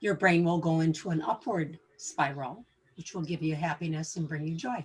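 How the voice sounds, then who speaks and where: Soft-spoken and somewhat breathy, a woman talks at a moderate pace. Her pitch is fairly low, with ordinary variation. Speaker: co-host of wellness talk. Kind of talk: casual wellness discussion. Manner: quiet, soft-spoken.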